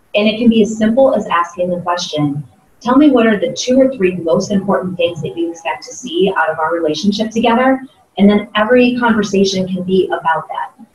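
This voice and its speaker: The voice has an American accent and a fairly quick pace. Room echo is audible. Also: woman, medium pitch for a woman, ordinary pitch variation. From US Midwest, Ohio (Columbus). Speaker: sales trainer and keynote speaker; sales trainer, keynote speaker. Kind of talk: interview. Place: meeting room.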